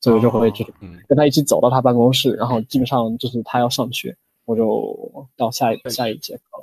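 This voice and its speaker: Somewhat breathy, a man talks with fairly even intonation and big swings in loudness. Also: medium pitch for a man. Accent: northern Chinese. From United States. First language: English (speaking Chinese). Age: 20s. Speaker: Chinese language learner. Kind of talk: interview.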